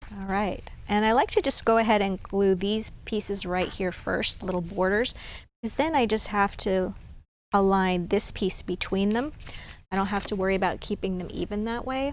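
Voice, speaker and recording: In a very clean recording with a silent background, an unremarkable speaking voice shows ordinary pitch variation at a moderate pace. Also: woman, medium pitch for a woman. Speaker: crafting tutorial host. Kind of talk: tutorial. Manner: casual, with frequent fillers.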